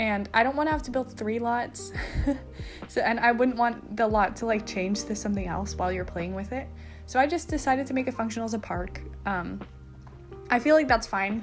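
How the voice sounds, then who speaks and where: Over music in the background, a woman talks at a fairly quick pace, broken by long, frequent pauses. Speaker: gaming video creator. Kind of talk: casual voice-over commentary. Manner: chatty, informal.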